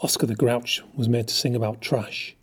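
The passage is delivered as plain reading aloud.

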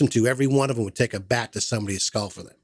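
A man talks very fast with an American accent and lively intonation. The recording is very clean, with a silent background and a dry, close sound with no echo. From Massachusetts. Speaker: podcast host. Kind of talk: casual chat.

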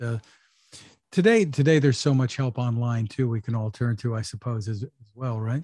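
Against a quiet background, a man speaks in a dark, mellow tone that is somewhat breathy. His pitch varies in an ordinary way. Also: dry, close sound with no echo. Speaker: tech interview host. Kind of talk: interview.

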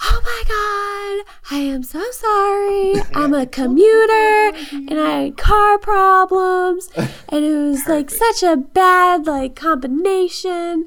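A woman puts on a character voice with an extremely high pitch and lively intonation. She goes at a very slow pace yet hardly pauses at all. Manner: pleading, apologetic.

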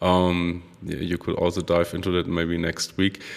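A man with a German accent at a moderate pace, in a very clean recording with a silent background. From Germany. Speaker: podcast host. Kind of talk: interview. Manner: halting, many fillers.

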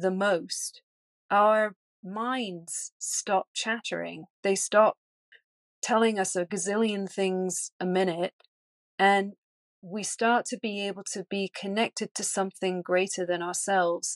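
A woman talks at a very slow pace with fairly even intonation and long, frequent pauses. The sound is dry and close with no echo, over a quiet background. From England. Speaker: energy healer. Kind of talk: interview conversation.

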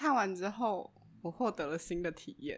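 Lively intonation marks a woman's medium-pitched voice. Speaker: podcast co-host. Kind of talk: casual chat. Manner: laughs often.

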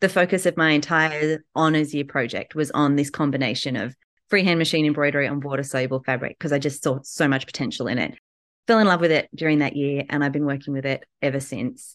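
A woman with an Australian accent speaks at a fairly quick pace, her pitch very deep and low. Her pitch varies in an ordinary way against a quiet background. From Newcastle, Australia. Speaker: textile artist. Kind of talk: interview. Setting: at home.

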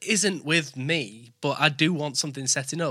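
A man's fairly high, bright, sharp voice with a strong Yorkshire accent at a moderate pace, in a very clean recording with a silent background. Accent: thick Yorkshire English. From born in West Bromwich near Birmingham, lives in East Yorkshire. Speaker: podcast host.

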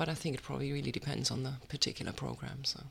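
A woman speaks with a German accent. The recording is very clean, with a silent background. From Germany. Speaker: writer and artist. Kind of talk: interview.

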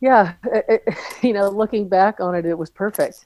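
A woman speaks with a Californian accent. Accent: Californian American. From US West Coast, Southern California (Redondo Beach). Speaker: soccer coach. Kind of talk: interview.

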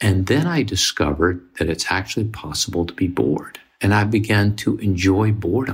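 A man speaks at a moderate pace in a very deep, low voice that is somewhat breathy. His pitch varies in an ordinary way. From US South, Mississippi. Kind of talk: casual chat.

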